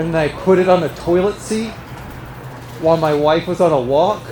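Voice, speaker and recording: Noticeable background noise accompanies moderately paced speech. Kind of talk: stand-up comedy story. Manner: casual, conversational, hesitant.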